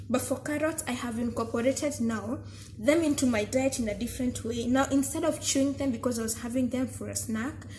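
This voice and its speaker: A woman at a moderate pace, against noticeable background noise. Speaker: vlogger. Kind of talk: casual vlog talk. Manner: animated.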